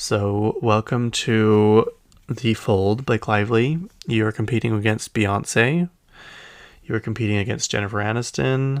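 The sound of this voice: The speaker talks at a fairly slow pace with a Utah accent. The intonation is fairly even. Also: man, fairly low pitch for a man. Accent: Utah American.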